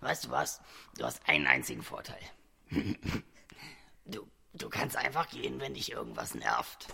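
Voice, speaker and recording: A raspy man's voice, very deep and low, at a moderate pace with long, frequent pauses. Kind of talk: children's radio play. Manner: sleepy, weary, stammering.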